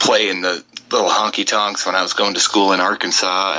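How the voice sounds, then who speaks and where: With an Upper Midwest accent and noticeable background noise, a man speaks at a fairly quick pace in a very deep, low voice with monotone, flat intonation. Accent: Upper Midwest American. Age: 30s. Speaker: country singer. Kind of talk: interview. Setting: Skype call.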